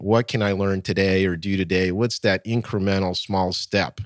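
On a very clean recording with a silent background and a dry, close sound with no echo, a man with an American accent and an ordinary speaking voice talks at a moderate pace and fairly low pitch. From United States (emigrated from former Soviet Union at 8). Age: 50s. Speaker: author, keynote speaker and consultant. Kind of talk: interview.

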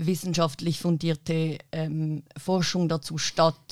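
A woman's fairly low, flat monotone on a very clean recording with a silent background. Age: 20s. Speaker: activist and political science student. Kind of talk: panel discussion. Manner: hesitant with many fillers.

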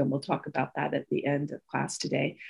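Over a quiet background, a woman speaks with a warm tone. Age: 50s. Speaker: presenter for a mothers' civic organization. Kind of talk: online lecture presentation. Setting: online video meeting. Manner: warm, conversational with laughter.

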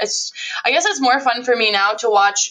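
With a fairly high pitch and ordinary pitch variation, a woman speaks in a normal speaking voice. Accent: American. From central Wisconsin. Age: 20s. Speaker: direct sales business owner. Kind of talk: interview.

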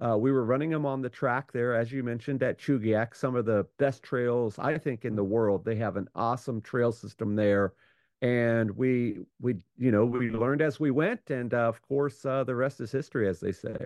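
A man talks in a normal speaking voice at medium pitch, moderate pace and fairly even intonation. The sound is dry and close with no echo, over a quiet background. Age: 50s. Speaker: musher and podcaster. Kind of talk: interview.

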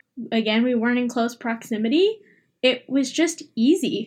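A woman's fairly high, somewhat breathy voice at a moderate pace, against a quiet background. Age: 20s. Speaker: host's best friend. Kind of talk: casual chat. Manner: animated.

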